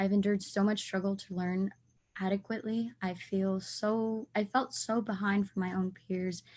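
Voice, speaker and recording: The voice is somewhat breathy, with flat, monotone intonation. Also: woman. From US, Mexican-American Spanish-speaking household. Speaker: teacher in training. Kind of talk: class podcast discussion.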